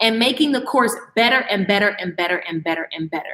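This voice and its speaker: A woman speaks in an animated tone at a fairly quick pace. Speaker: online course creator and coach. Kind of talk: live-stream class. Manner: fast.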